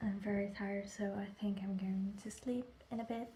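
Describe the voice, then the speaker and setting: A woman talks at a medium pitch with noticeable background noise behind her. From Netherlands. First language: Dutch. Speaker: vlogger. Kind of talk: vlog.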